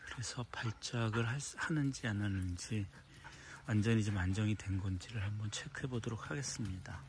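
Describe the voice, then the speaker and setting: A man speaks at a fairly low pitch, somewhat breathy. The sound is dry with no echo, with light background noise. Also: ordinary pitch variation, moderate pace. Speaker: dog trainer. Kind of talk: casual video vlog narration to camera. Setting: outdoors at a dog school. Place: garden. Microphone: phone near.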